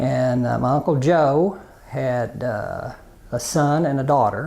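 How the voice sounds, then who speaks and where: A man with an Arkansas accent at a very slow pace, medium in pitch with ordinary pitch variation and a dark, mellow tone. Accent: Southern US (Arkansas). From US South, Arkansas (Prairie Grove). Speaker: interviewee, family telephone business. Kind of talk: oral history interview. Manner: hesitant, many fillers.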